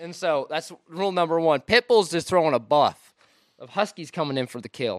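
With an American accent, a man talks at a fairly quick pace in a high pitch, his intonation lively and his loudness swinging widely, on a very clean recording with a silent background and a dry, close sound with no echo. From Washington State. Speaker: outdoor photographer. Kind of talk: casual chat.

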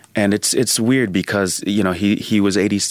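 Fairly low in pitch with ordinary pitch variation, a man talks in a normal speaking voice. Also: dry, close sound with no echo. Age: 30s. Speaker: communication scholar and author. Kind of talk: interview.

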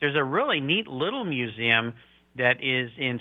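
Speaking at a moderate pace in a normal speaking voice, a man with a medium pitch talks with an American accent. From Southern California (San Diego). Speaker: car podcast host. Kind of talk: interview.

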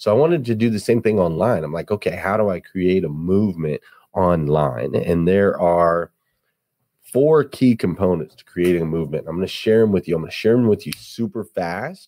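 In a very clean recording with a silent background, a speaker with an American accent uses a dark, mellow tone and lively intonation at a moderate pace. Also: man, very deep, low pitch for a man. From Flagstaff, Arizona. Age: 40s. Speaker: auto industry leader and motivational speaker. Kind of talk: casual interview chat.

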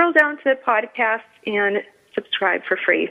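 Over noticeable background noise, a speaker with an American accent talks with ordinary pitch variation. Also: woman. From New England. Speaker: radio show host. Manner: animated, chatty.

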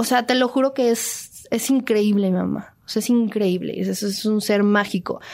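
In a plain, everyday voice, the speaker keeps a moderate pace with hardly any pauses, very even loudness and fairly even intonation. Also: woman, fairly high pitch for a woman. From Mexico City. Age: 20s. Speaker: actress and singer. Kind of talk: interview. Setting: radio studio.

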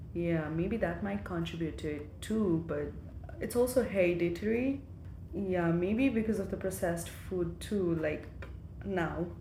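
Amid noticeable background noise and audible room echo, a woman with a fairly low pitch speaks at a fairly slow pace with very wide pitch swings. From eastern Nepal, Ilam. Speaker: nurse and graduate student. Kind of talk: interview.

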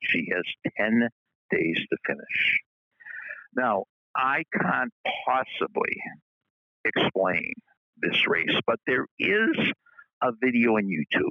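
A man talks at a very slow pace. His loudness stays very even between long, frequent pauses. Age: 70s. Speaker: motivational speaker, daily message host. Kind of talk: recorded motivational message.

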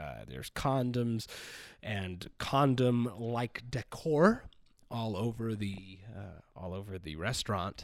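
Over a very clean recording with a silent background, a man speaks at a very slow pace and fairly low pitch with lively intonation and big swings in loudness. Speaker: podcast host. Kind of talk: casual chat. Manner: profane, joking.

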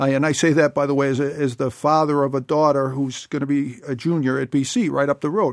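A man with a plain, everyday voice talks at a fairly quick pace with a fairly high pitch, fairly even intonation and hardly any pauses. The recording is very clean with a silent background and a dry, close sound with no echo. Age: 50s. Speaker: political candidate. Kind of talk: interview. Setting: studio.

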